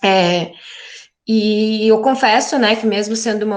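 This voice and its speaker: A woman is talking. The background is quiet. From southern Brazil, Porto Alegre area. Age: 20s. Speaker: geography teacher. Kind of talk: interview.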